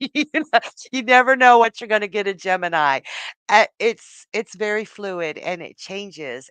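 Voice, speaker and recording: A woman speaks at a moderate pace with very wide pitch swings, in a dry, close sound with no echo and a quiet background. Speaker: psychic tarot reader and astrologer. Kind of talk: live psychic reading stream to chat viewers. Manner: laid back, chatty, casual.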